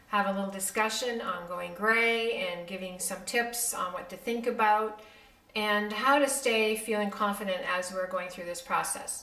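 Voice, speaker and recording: A woman's fairly high voice at a moderate pace with ordinary pitch variation, amid noticeable background noise and audible room echo. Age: 60s. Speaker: beauty vlogger, makeup artist. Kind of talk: casual vlog talk to camera. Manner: many fillers (um, uh).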